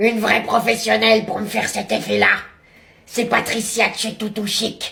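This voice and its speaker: A female-sounding, put-on character voice comes out raspy and fairly high in pitch at a moderate pace. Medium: comedy sketch. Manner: gruff, cranky.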